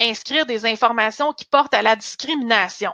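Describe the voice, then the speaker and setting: Against a quiet background, a woman speaks at a high pitch with a bright, sharp tone and ordinary pitch variation. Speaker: career coach and recruiter. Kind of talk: webinar presentation. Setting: online webinar.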